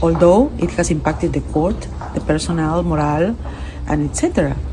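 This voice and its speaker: At a moderate pace, a woman talks amid audible room echo and noticeable background noise. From Peru. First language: Spanish. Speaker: international court judge. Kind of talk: interview. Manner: halting, with repetitions and fillers.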